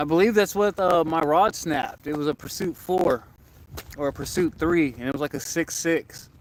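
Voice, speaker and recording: Speaking at a moderate pace with an American accent, a man uses a high pitch and ordinary pitch variation. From Florida. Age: 20s. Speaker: angler livestreamer. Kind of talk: casual livestream chat. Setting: outdoors by a lake.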